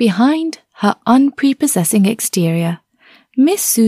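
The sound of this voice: The background is quiet while an unforced reading voice comes through.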